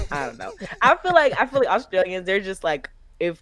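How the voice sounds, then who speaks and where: A woman with a medium pitch speaks at a moderate pace in an animated tone. Her pitch swings very widely, with vocal fry. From US South, Nashville, Tennessee. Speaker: flight attendant and content creator. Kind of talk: casual chat.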